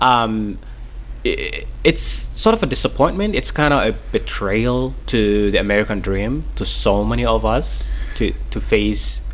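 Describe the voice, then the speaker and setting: A man talks with a Somali accent. Noticeable background noise is present. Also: fairly slow pace. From Mogadishu, Somalia. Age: 30s. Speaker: author, refugee and interpreter. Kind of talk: radio interview. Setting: radio studio. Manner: halting, hesitant, repeating words.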